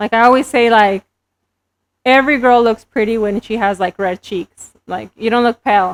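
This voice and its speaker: This woman has a fairly high pitch and a Spanish accent, speaking at a moderate pace with fairly even intonation. The sound is dry and close, with no echo. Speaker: entrepreneur and beauty business owner. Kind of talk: podcast interview. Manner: casual, hesitant with fillers.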